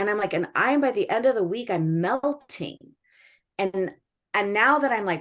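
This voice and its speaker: Speaking at a moderate pace with lively intonation, a woman at a medium pitch leaves long, frequent pauses. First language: Spanish or Greek. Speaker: school educator and administrator. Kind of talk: casual chat. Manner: animated.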